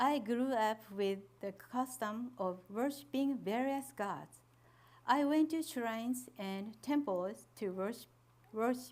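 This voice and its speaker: The woman here speaks at a very slow pace. Her intonation is lively. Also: fairly high pitch for a woman. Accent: Japanese. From Japan, Fukushima. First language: Japanese. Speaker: missionary's wife. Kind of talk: testimony.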